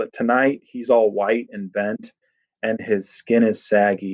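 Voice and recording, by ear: With ordinary pitch variation and a quiet background, the text is read aloud in a natural voice.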